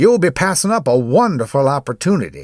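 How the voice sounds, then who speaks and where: A man's put-on character voice, fairly high and fairly quick, on a very clean recording with a silent background. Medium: read story. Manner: calm, quietly insistent.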